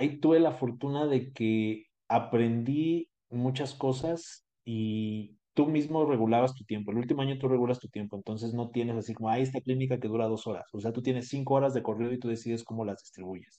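The delivery moves at a fairly quick pace with hardly any pauses, fairly even intonation and a dark, mellow tone. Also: man, medium pitch for a man. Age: 20s. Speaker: dentist. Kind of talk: interview.

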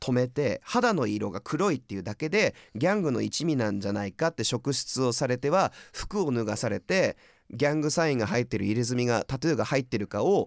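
A plain, everyday voice from a man at medium pitch, fairly quick and lively in intonation, in a very clean recording with a silent background and a dry, close sound with no echo. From California. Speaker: podcast host presenting music artists. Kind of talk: casual chat.

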